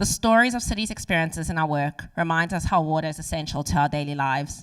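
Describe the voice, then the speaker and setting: In a South African accent, a woman speaks at a very deep, low pitch and a very fast pace. Her pitch variation is ordinary, and the recording is very clean with a silent background. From South Africa, Cape Town. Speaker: civil engineer, climate and water specialist. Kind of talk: conference speech. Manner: formal.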